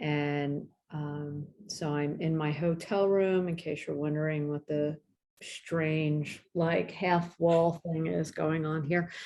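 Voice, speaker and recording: Very slowly, a woman speaks in a very deep, low voice with monotone, flat intonation. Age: 60s. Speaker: acupuncturist teacher. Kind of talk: online presentation. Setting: video call from hotel room.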